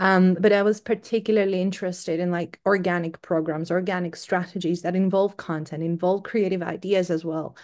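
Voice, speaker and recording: A woman's medium-pitched voice with a Greek accent, fairly even intonation and a moderate pace, over a quiet background. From Greece. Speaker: SEO marketing executive. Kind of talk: interview.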